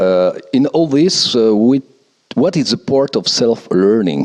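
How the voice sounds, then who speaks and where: In a French accent, a man with a medium pitch speaks with very wide pitch swings. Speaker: radio host. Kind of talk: interview. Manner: halting.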